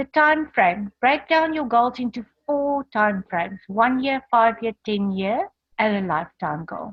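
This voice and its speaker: An ordinary speaking voice moves at a fairly slow pace. The intonation is lively. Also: woman, fairly high pitch for a woman. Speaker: motivational speaker. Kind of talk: online training presentation.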